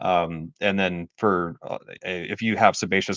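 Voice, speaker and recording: Against a quiet background, with a dry, close sound and no echo, a man speaks in a very deep, low voice with flat, monotone intonation. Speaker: skincare product developer and live stream host. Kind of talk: live stream Q&A. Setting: live stream. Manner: fast; many fillers and repetitions. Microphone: new microphone setup.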